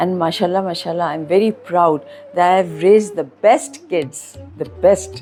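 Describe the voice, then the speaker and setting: Music plays in the background while a woman talks at moderate speed. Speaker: school owner and educationist. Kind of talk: interview answer.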